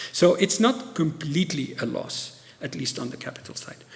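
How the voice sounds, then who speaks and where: Over noticeable background noise and audible room echo, a man talks with lively intonation. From Tunisia. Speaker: professor. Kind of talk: lecture Q&A.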